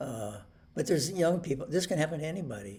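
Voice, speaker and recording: This man's voice is somewhat breathy and shows ordinary pitch variation. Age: 70s. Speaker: video blogger with Parkinson's disease. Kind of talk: personal video talk. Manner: halting, many fillers.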